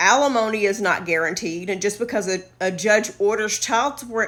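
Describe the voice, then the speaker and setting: A bright, sharp, animated voice with a Southern US accent moves at a moderate pace on a very clean recording with a silent background. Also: woman. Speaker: social media influencer. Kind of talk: casual advice monologue.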